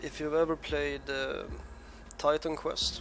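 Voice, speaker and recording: A man talks at a moderate pace with music playing in the background. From Sweden. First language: Swedish. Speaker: gaming youtuber. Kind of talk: gameplay commentary. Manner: halting, with hesitations.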